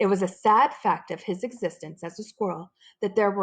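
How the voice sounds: A natural reading voice with fairly even intonation is heard against a quiet background.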